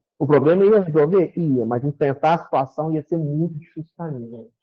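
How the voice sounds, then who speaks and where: A somewhat breathy man's voice, fairly high in pitch, at a fairly slow pace. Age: 60s. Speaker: spiritist lecturer. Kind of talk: spiritist talk. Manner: conversational, animated.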